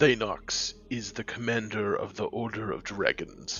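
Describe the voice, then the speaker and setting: A man's put-on character voice at a medium pitch, with clear background noise. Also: moderate pace. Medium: audio drama. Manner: cold, terse, formal.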